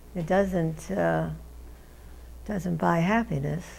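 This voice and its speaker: A woman speaks with an American accent, and the room echo is audible. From New York (Yonkers, Westchester County). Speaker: family elder interviewee. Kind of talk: life-story interview. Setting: in a home.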